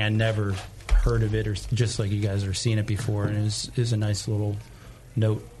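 Soft-spoken, a man talks in a fairly low pitch. Noticeable background noise runs under his voice. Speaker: brewer. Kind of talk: casual interview. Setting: studio.

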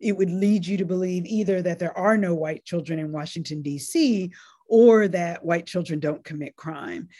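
A woman talks in a plain, everyday voice, fairly low in pitch, at a moderate pace with ordinary pitch variation. The recording is very clean, with a silent background. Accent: American. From US South, North Carolina. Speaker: law professor. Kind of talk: interview.

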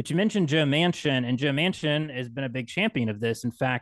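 This a normal speaking voice moves at a fairly quick pace with an American accent and ordinary pitch variation. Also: man. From West Virginia, Appalachia. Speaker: podcaster. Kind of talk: casual chat.

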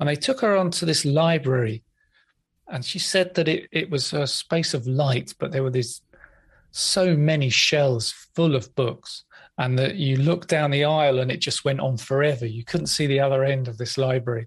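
Against a quiet background, a man with an English accent talks at a moderate pace and fairly high pitch, somewhat breathy, with ordinary pitch variation. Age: 50s. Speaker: hypnotherapist and podcast host. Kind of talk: interview.

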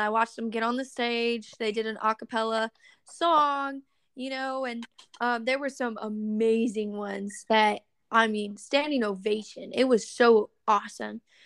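In an unremarkable speaking voice with an American accent, the speaker goes at a fairly slow pace with fairly even intonation, the sound dry and close with no echo. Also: woman. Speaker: country singer. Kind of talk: casual interview.

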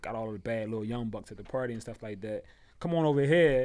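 On a very clean recording with a silent background, a man talks fairly quickly at a medium pitch. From Philadelphia. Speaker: nightlife promoter. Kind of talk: casual chat.

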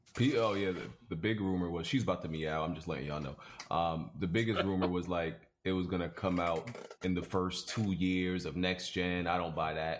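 Here a man speaks with a very deep, low pitch. His pace is fairly quick. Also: ordinary pitch variation. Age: 20s. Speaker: gaming podcast host. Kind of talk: casual chat.

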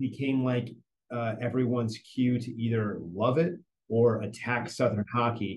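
A somewhat breathy man with an American accent talks at a medium pitch and a moderate pace. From northern New Jersey. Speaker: sports marketing executive. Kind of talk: interview.

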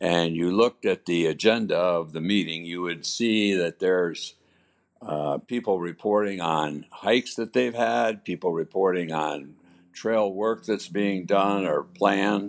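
With an American accent, a man speaks fairly slowly in a very deep, low voice with ordinary pitch variation against a quiet background. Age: 80s+. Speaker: trail volunteer. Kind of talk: interview. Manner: halting.

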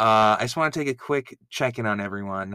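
A man's medium-pitched voice with a bright, sharp tone and ordinary pitch variation. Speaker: podcast host. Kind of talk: casual banter recap.

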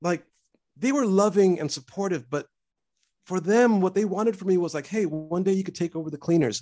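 Talking at a fairly quick pace, a man with an American accent has a high pitch, a dark, mellow tone and ordinary pitch variation. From US West Coast, Los Angeles. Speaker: composer for animation.

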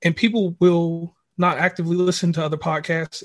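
With an American accent, a man speaks at a high pitch. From Virginia. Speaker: podcaster. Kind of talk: casual chat.

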